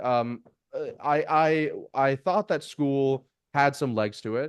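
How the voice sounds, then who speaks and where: A man talks with ordinary pitch variation. Nothing much stirs in the quiet background. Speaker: business founder and CEO. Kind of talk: podcast interview.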